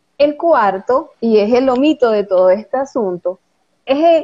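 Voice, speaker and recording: This woman has a high voice. She speaks with lively intonation. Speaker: lawyer and voice coach. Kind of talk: interview, explanatory talk. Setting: live stream with online audience.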